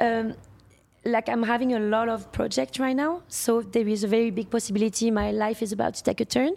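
Speaking at a fairly quick pace, a woman with a French accent has a fairly high pitch and ordinary pitch variation. The recording is very clean, with a silent background. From France. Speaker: sex worker. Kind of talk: podcast interview.

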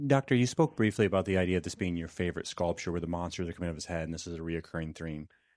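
Against a quiet background, a man talks very fast. His pitch is very deep and low, with ordinary variation. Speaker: audience member asking question. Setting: live event Q&A.

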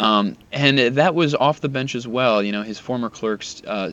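In an ordinary speaking voice, a man delivers his words at a moderate pace, his pitch varying in an ordinary way. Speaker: Supreme Court reporter. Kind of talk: interview about a Supreme Court justice's legacy.

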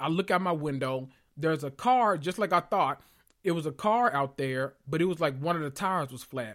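On a very clean recording with a silent background, a man with a fairly high pitch talks at a fairly quick pace, his tone animated and intonation lively. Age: 30s. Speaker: podcast host. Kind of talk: casual monologue, story time.

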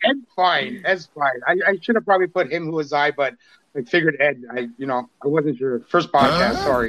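A man with a plain, everyday voice talks at a fairly high pitch. His intonation is lively. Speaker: TikTok creator. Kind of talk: casual chat. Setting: video call.

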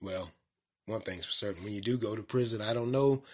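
Speaking in a Southern US accent, a man of medium pitch keeps his intonation fairly even. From North Carolina, US South. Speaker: podcast host. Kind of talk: solo commentary podcast monologue. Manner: casual, conversational, with filler words.

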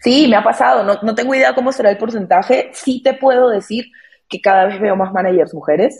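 The woman's voice is fairly high and somewhat breathy. She speaks at a fairly quick pace with lively intonation. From Peru. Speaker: music marketing lead. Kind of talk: casual chat.

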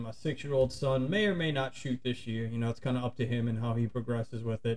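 This man speaks with a south Louisiana accent at a medium pitch. His pace is fairly quick and his intonation fairly even. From St. Bernard Parish, Louisiana. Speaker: outdoor YouTuber. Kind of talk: casual chat.

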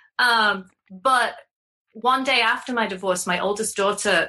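With an English accent, a woman speaks in a bright, sharp tone and ordinary pitch variation. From England. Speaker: confidence coach. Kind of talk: casual chat.

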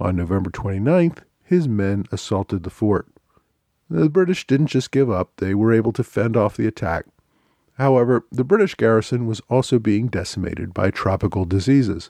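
At a moderate pace, a man with a dark, mellow tone and lively intonation is heard against a quiet background in a dry, close sound with no echo. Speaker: podcast host. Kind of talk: scripted narration.

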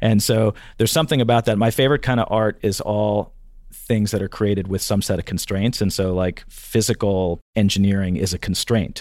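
Here a man with a plain, everyday voice talks at a fairly quick pace and fairly low pitch, with ordinary pitch variation, on a very clean recording with a silent background. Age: 50s. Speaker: CEO of a job search company. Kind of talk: interview.

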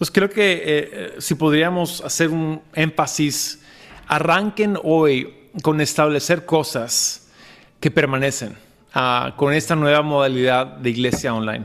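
With an unremarkable speaking voice, a man talks fairly high in pitch and varies it in an ordinary way. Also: fairly slow pace. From Lima, Peru. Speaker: pastor. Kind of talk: interview. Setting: video call.

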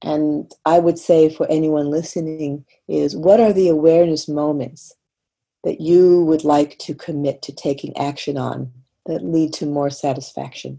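A woman's very deep, low voice, dark and mellow in tone, with fairly even intonation at a fairly slow pace. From Canada, Montreal, Quebec. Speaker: executive coach and author. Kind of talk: interview.

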